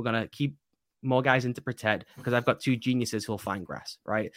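The voice, with an English accent, moves at a fairly quick pace in a dry, close sound with no echo. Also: man. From England. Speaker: football writer and analyst. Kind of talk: casual interview. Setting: video call.

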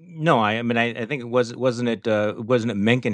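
A plain, everyday voice from a man with an American accent, fairly quick and fairly even in intonation, against a quiet background. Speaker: podcast host. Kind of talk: interview conversation.

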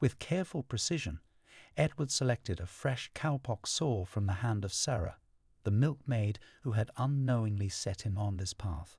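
In a quiet background with dry, close sound and no echo, a man at medium pitch talks with lively intonation and a somewhat breathy voice. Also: moderate pace. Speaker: podcast narrator. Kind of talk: history documentary narration, scripted storytelling read aloud. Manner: measured, dramatic, evocative storyteller pacing; formal, polished, suspenseful tone.

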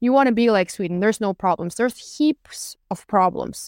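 With a Norwegian accent, a woman speaks at a fairly high pitch with lively intonation, in a dry, close sound with no echo on a very clean recording with a silent background. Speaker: political commentator and journalist. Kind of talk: casual interview chat.

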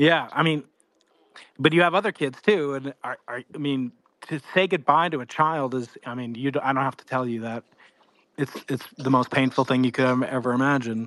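In a plain, everyday voice, a man speaks at a moderate pace and medium pitch, with ordinary pitch variation, big swings in loudness, and a dry, close sound with no echo. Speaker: audience member. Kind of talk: question from audience. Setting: online audio space.

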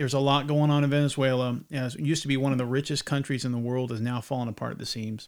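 A man with a slight Southern US accent speaks at a medium pitch with fairly even intonation. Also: very clean recording, silent background. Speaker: podcast host. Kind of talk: casual chat.

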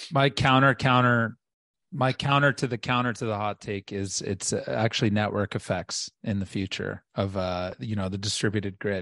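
A man speaks in an unremarkable speaking voice, fairly low, with ordinary pitch variation. He keeps a moderate pace over a quiet background. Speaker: podcast co-host. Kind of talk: podcast interview. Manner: excitable.

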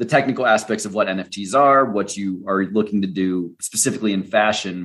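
This is an unremarkable speaking voice: a man with an American accent and a fairly low pitch. He talks at a moderate pace with ordinary pitch variation. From United States. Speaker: podcast host. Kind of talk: interview conversation; scripted narration.

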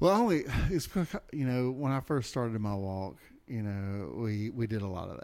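Here a man talks in a normal speaking voice at a medium pitch. His pace is moderate and his intonation lively. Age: 40s. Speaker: guest podcast host. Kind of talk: casual chat.

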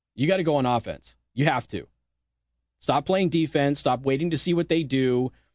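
A man speaks in an ordinary speaking voice with a fairly high pitch. His pitch varies in an ordinary way, and his pace is moderate. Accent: American. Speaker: radio host. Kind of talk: angry rant. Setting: studio. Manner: angry, sarcastic.

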